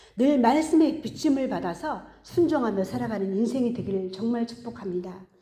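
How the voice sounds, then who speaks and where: Audible room echo surrounds a woman's fairly high voice, dark and mellow in tone, moving through very wide pitch swings at a moderate pace. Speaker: pastor. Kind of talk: sermon.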